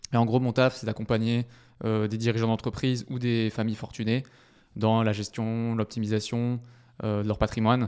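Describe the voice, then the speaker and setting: In a very clean recording with a silent background, a man speaks in a medium pitch at a moderate pace with monotone, flat intonation. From southwestern France, Bordeaux. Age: 20s. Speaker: property investor and wealth advisor. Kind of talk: casual interview.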